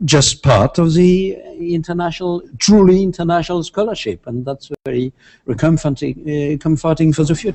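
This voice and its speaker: A man with a French accent speaks at a moderate pace in a high pitch, his intonation lively. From France. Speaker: international law professor. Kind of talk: interview. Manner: halting.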